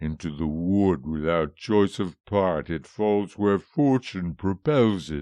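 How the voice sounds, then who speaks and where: Over a quiet background, a man puts on a character voice with a very deep, low pitch. He speaks at a fairly slow pace. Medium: read story. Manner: grieving, dignified, archaic.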